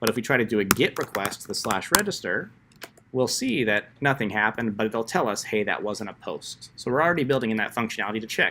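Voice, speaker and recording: Speaking very fast, a man uses a medium pitch and a bright, sharp tone with ordinary pitch variation. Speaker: coding instructor. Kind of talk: tutorial.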